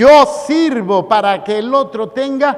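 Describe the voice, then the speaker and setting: This man's very slow speech carries lively intonation over noticeable background noise. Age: 60s. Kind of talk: sermon. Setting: church.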